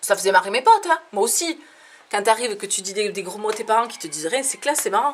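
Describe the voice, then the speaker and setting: Over noticeable background noise, a woman talks at a fairly quick pace and a fairly high pitch, with lively intonation. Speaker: comedian. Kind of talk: stand-up. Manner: animated.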